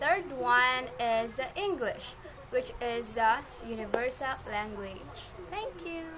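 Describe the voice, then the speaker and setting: A woman with a Western Visayas accent talks at a very slow pace in a high pitch, with lively intonation and big swings in loudness. Noticeable background noise and audible room echo fill the recording. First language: Hiligaynon. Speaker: interviewee. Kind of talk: short answer to question.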